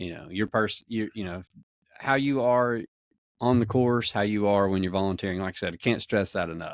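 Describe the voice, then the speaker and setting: A man with a Southern US accent speaks with a fairly low pitch and ordinary pitch variation in a dry, close sound with no echo. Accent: Southern US drawl. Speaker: podcast host. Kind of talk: casual chat.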